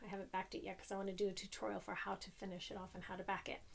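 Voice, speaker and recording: A woman talks at a very fast pace with vocal fry. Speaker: craft vlogger. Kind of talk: casual chat. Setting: at home craft room.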